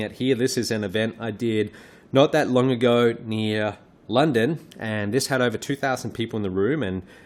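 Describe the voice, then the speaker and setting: Speaking in an Australian accent, a man with a fairly low pitch and ordinary pitch variation keeps a moderate pace. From Australia, Perth. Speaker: online business trainer. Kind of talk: webinar presentation. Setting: live webinar.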